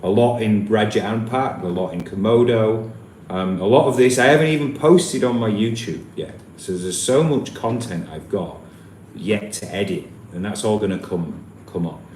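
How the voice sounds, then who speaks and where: With a Yorkshire accent and lively intonation, the speaker keeps a moderate pace, with audible room echo around the voice. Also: man, medium pitch for a man. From Yorkshire, northern England. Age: 30s. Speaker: travel vlogger. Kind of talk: live stream Q&A. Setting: live stream. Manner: casual, hesitant with repetitions.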